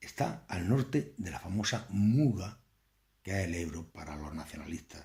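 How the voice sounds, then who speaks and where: Somewhat breathy and fairly low, a man's voice moves at a fairly slow pace. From Andalusia, Spain. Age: 50s. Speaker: political commentator. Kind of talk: political lecture. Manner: conversational.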